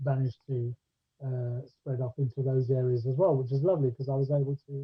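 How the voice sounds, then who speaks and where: A somewhat breathy man speaks at a moderate pace with a medium-pitched voice. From Scotland, Ayrshire, west coast. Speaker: actor and director. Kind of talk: casual interview chat. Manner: hesitant, many fillers.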